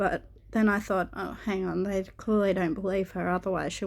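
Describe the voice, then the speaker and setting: A woman talks at medium pitch in an Australian accent, with monotone, flat intonation. The recording is very clean, with a silent background. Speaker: YouTuber. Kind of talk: casual vlog talk. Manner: hesitant, many filler words.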